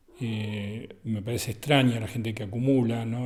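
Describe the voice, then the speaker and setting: There's audible room echo here. The voice belongs to a man. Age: 60s. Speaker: photographer. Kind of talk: interview. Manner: halting.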